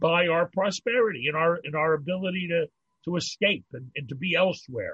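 At a moderate pace, a man with an American accent speaks in a high voice. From Pittsburgh, US. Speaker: rabbi. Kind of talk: casual chat.

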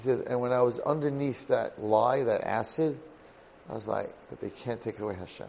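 With ordinary pitch variation and a medium pitch, a man talks at a moderate pace amid audible room echo. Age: 50s. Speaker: rabbi teaching a Torah class. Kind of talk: lecture.

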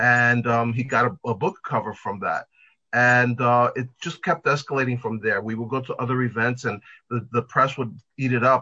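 A man's medium-pitched, normal speaking voice with an American accent. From New York. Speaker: pet fashion designer. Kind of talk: interview.

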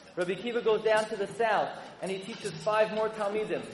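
Over noticeable background noise, a man talks at a very fast pace with a high pitch. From US Northeast, Brooklyn. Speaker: rabbi. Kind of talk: speech to an audience. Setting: stage with audience.

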